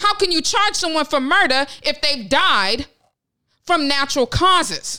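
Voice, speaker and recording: In an American accent, a woman uses a raised, projected voice at a high pitch, with a bright, sharp tone, very even loudness and a fairly slow pace. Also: lively intonation. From Ohio, US Midwest. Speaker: podcast co-host. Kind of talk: casual chat.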